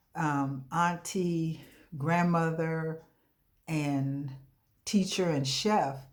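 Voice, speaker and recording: A woman's very deep, low-pitched voice with fairly even intonation and audible room echo. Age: 60s. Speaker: coaching client giving a testimonial. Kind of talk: testimony. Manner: hesitant, frequent fillers.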